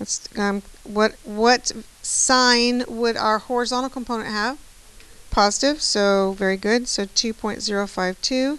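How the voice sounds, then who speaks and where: In an ordinary speaking voice, a woman speaks at a fairly slow pace with a fairly high pitch and fairly even intonation. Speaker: math teacher. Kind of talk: classroom lecture.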